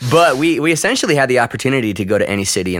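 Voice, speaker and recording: The speaker talks at a very fast pace with very wide pitch swings and vocal fry. The recording is very clean, with a silent background. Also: man. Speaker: pastor. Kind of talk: casual interview chat. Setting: church campus room.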